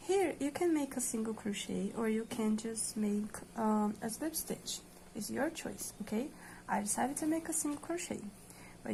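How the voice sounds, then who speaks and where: A woman with a Portuguese accent, speaking at a moderate pace. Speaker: crochet tutorial creator. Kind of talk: tutorial. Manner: hesitant, many fillers.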